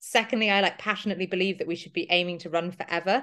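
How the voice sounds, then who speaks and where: A woman talks at a very fast pace. Her pitch is medium, and the background is quiet. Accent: London. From London, England. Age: 30s. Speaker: runner and running coach. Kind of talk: podcast interview. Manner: hesitant with frequent ums.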